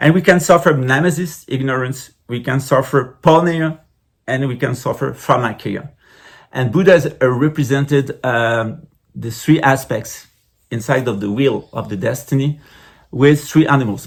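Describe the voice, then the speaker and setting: A somewhat breathy man at a medium pitch, with ordinary pitch variation and a moderate pace. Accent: French. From France. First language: French. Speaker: spiritual teacher. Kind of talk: lecture. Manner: halting.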